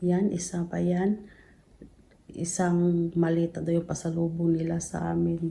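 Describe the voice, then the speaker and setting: A soft-spoken woman with a fairly low pitch at a fairly slow pace. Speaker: vlogger. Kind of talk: casual vlog chat. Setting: at home, late night. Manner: soft-spoken, lowered voice.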